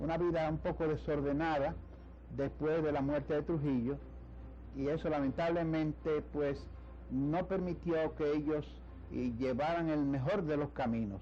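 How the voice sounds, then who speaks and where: Speaking at a fairly slow pace, a man keeps his dark, mellow tone at a very even loudness. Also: fairly high pitch for a man. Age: 90s. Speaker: poet and lawyer. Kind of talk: TV interview. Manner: halting, many fillers.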